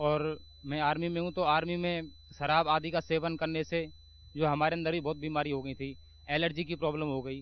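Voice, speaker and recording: Flat and monotone, a man talks at a fairly high pitch. His pace is moderate. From Mathura, western Uttar Pradesh, India. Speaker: army soldier giving testimony. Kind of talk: testimony.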